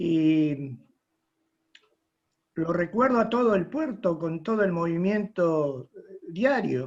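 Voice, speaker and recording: Very slowly, the man speaks as his pitch swings very wide. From Argentina, Rosario (Santa Fe). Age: 80s+. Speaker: retired merchant navy officer. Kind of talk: audience question at online conference.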